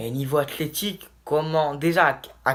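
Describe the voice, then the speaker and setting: A man speaks at a fairly slow pace. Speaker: basketball YouTuber. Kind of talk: video commentary monologue. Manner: animated.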